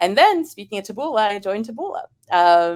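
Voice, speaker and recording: Speaking fairly quickly, a woman talks in an American accent. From Israel and US. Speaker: marketing professional. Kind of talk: podcast interview. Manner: halting, many fillers and repetitions.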